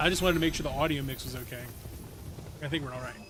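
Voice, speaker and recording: A man talks with lively intonation while noticeable background noise fills the recording. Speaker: video game streamer. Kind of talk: live stream chat. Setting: live stream.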